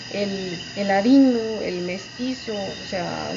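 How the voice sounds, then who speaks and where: With ordinary pitch variation, a woman's medium-pitched voice is heard amid audible room echo and noticeable background noise. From Guatemala. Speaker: poet. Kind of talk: interview. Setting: poetry festival. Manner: halting.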